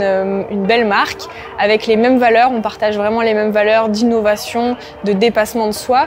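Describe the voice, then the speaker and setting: Faint background music behind a woman at a moderate pace with fairly even intonation. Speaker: coach. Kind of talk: interview answer. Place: gym. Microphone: lapel.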